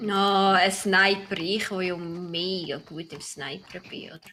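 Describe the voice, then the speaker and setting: Very slow speech from a woman with a Swiss accent at a medium pitch, over noticeable background noise. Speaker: gaming video creator. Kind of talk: casual chat. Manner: animated.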